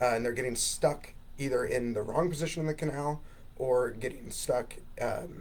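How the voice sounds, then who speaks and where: A man talks at a moderate pace. Audible room echo fills the recording. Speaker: physical therapist. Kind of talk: interview.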